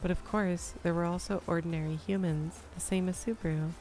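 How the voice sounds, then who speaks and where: A somewhat breathy woman's voice, fairly low in pitch, with fairly even intonation and a moderate pace. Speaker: VTuber streamer. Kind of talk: light novel read aloud on stream. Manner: soft ASMR voice.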